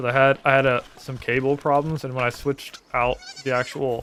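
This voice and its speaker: Monotone, flat delivery from a medium-pitched man at a moderate pace, with noticeable background noise. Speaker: gaming streamer. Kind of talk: live gameplay commentary. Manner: soft-spoken. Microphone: viewer says stream audio is quiet.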